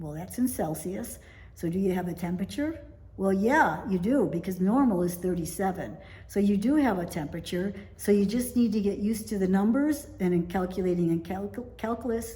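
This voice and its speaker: With audible room echo, a woman with an American accent talks at a fairly quick pace in a medium pitch, her voice somewhat breathy with a dark, mellow tone and lively intonation. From United States. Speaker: vlogger, expat in Italy. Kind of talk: casual talking-to-camera vlog.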